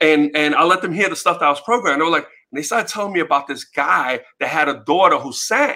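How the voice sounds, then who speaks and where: The delivery is very fast, with ordinary pitch variation and a New York accent. The tone is bright and sharp. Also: man, fairly high pitch for a man. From US Northeast, New York City (Bronx), Puerto Rican. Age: 50s. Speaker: music promoter and author. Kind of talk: casual interview.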